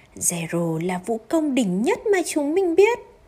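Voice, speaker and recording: In a warm, gentle tone, a woman speaks very slowly at a high pitch, her voice swinging very widely up and down. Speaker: audiobook narrator. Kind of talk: children's audiobook storytelling, scripted reading aloud of a picture-book tale. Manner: animated, expressive, plays characters with dramatic voices; warm, gentle, soothing bedtime-story tone, slow in sad moments.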